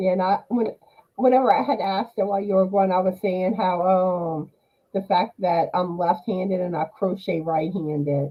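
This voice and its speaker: This is a normal speaking voice at a moderate pace. The pitch variation is ordinary. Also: woman, medium pitch for a woman. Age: 40s. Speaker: crochet channel host. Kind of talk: casual chat.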